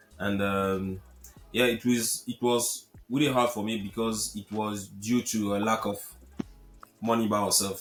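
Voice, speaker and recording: A man speaks at a fairly slow pace with a French accent, his pitch fairly low. His intonation stays fairly even over music in the background. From Cameroon. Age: 30s. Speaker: real estate investor. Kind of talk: interview. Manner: halting, many repetitions.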